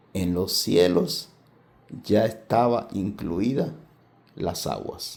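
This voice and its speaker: A soft-spoken man with a dark, mellow tone, fairly even intonation and audible room echo. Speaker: Bible teacher. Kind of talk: Bible study lecture. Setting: at home, family table. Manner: slow.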